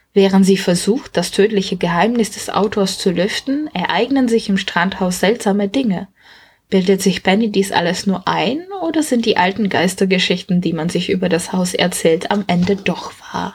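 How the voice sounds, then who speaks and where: Somewhat breathy, a woman of medium pitch talks at a moderate pace with ordinary pitch variation. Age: 20s. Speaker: book author and podcast host. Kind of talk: book presentation.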